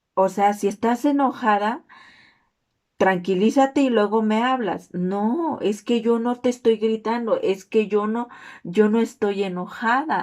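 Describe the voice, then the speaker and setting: A woman's fairly high pitch with ordinary pitch variation at a fairly slow pace. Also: very clean recording, silent background. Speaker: student. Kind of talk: class presentation video.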